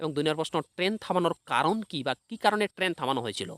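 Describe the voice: A man talks at a fast pace with a fairly bright tone. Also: dry, close sound with no echo.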